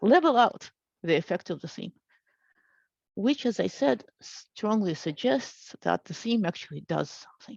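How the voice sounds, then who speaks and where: Vocal fry marks a woman's medium-pitched voice with very wide pitch swings. The sound is dry and close, with no echo. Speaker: linguist giving an academic talk. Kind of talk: lecture. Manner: hesitant, many fillers.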